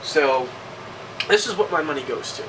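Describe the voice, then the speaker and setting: Noticeable background noise and audible room echo surround a man speaking with a fairly high pitch. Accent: American. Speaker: video game reviewer. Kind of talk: casual vlog monologue. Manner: halting.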